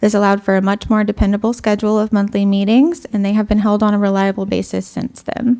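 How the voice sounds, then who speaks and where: Speaking at a very fast pace, a woman uses a medium pitch. Her tone is dark and mellow. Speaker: history intern presenting research. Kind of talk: conference presentation.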